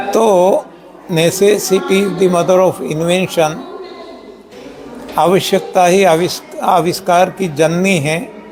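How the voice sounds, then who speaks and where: The intonation is fairly even. Audible room echo and noticeable background noise accompany the voice. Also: man. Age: 70s. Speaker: health system founder. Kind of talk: interview. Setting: live stream.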